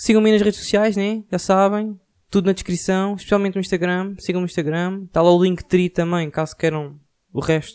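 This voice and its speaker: A man with a high voice talks at a fairly quick pace, his intonation fairly even. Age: 20s. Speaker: podcaster. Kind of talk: casual monologue.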